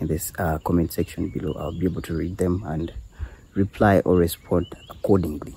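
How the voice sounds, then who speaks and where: Man with a Ugandan accent, a dark, mellow tone, a somewhat breathy voice, and a moderate pace. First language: Luganda. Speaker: apple farmer and video creator. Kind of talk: casual farm walkthrough vlog. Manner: hesitant, with fillers and repeats.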